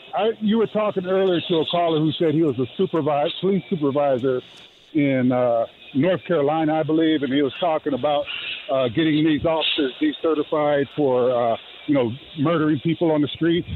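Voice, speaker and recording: A man at a fairly quick pace, with very even loudness and ordinary pitch variation, in dry sound with no echo over noticeable background noise. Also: fairly high pitch for a man. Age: 60s. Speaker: caller, retired police officer. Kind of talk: radio call-in comment. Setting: phone call at an outdoor car wash, poor line.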